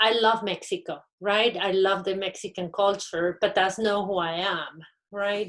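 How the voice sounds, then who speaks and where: A woman with a Spanish accent speaks at a medium pitch and a fairly slow pace, with fairly even intonation and long, frequent pauses. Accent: Spanish-speaker. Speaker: university panelist. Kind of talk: panel discussion.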